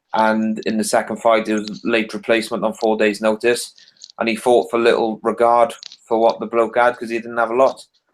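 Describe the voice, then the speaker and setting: A man talks in a Welsh accent at a medium pitch. His delivery is fairly quick, with monotone, flat intonation. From Wales. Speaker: boxing podcast panelist. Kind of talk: casual panel discussion.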